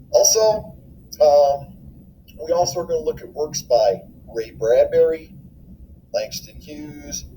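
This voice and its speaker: A man with an American accent at a fairly slow pace, with big swings in loudness and long, frequent pauses. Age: 60s. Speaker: middle school teacher. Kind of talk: welcome video address to students.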